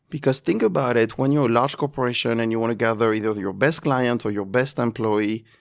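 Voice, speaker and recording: In a French accent, a man speaks at a fairly quick pace with hardly any pauses and ordinary pitch variation. The recording is very clean, with a silent background. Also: medium pitch for a man. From France. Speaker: luxury events agency president. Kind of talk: interview. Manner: halting.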